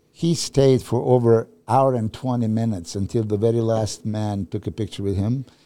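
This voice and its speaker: With a Serbian accent, a man speaks in a dark, mellow tone and fairly even intonation on a very clean recording with a silent background. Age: 50s. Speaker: bodybuilding coach. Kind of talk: casual chat.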